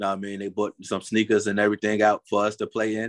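Recorded dry and close with no echo against a quiet background, a man with a New Jersey accent and a fairly low voice talks at a fairly quick pace. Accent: New Jersey urban American English. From North New Jersey. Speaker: rap artist manager and entrepreneur. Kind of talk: casual interview.

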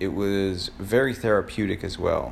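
Through audible room echo comes a man with an American accent, fairly low in pitch, speaking at a fairly slow pace with lively intonation. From Florida. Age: 30s. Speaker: podcaster. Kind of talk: solo personal monologue. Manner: halting, many fillers.

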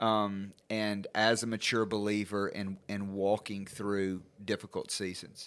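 Fairly slow, monotone, flat speech from a man with a fairly low pitch and hardly any pauses, on a very clean recording with a silent background. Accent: Southern US. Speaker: podcast host, addiction recovery worker. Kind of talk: interview.

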